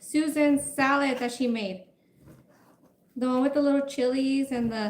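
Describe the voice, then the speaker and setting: At a moderate pace, the speaker uses ordinary pitch variation in a Spanish accent. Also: woman. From Mexico. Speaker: food livestreamer. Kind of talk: casual livestream chat while cooking. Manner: chatty.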